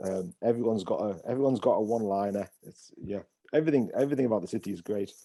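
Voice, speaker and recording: With a dark, mellow tone, a man talks at a very fast pace, his loudness swinging widely while his pitch varies in an ordinary way. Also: medium pitch for a man. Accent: northeast English. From northeast England, Hartlepool, County Durham. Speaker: pastor. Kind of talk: interview. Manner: hesitant, many fillers.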